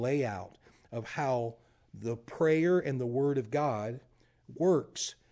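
A man with a Louisiana accent speaks at a fairly high pitch, with a dark, mellow tone, ordinary pitch variation and a quiet background. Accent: Louisiana Southern US. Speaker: prayer ministry leader. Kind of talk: interview chat.

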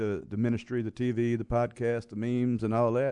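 With a Louisiana accent, a man speaks at medium pitch and a moderate pace in a monotone, flat tone. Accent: US Southern (Louisiana). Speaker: pastor and evangelist. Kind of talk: interview conversation. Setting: studio.

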